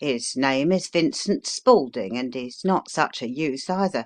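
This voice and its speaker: In a put-on character voice, a man talks at a moderate pace with fairly high pitch, a raspy texture, and lively intonation. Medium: read story. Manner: homely, rambling.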